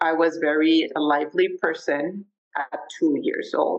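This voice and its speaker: Someone with a Spanish accent speaks at a fairly slow pace. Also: woman. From Mexico City, Mexico. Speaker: podcast guest sharing life story. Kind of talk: interview. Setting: video call.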